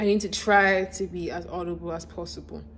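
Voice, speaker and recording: Here a woman talks at a fairly slow pace. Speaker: YouTuber answering fan questions. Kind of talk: casual Q&A vlog. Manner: words can run together, mumbled.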